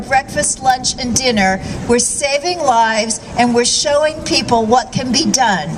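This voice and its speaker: Fairly slow speech from a woman against noticeable background noise. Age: 60s. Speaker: vegan author and speaker. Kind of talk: rally speech.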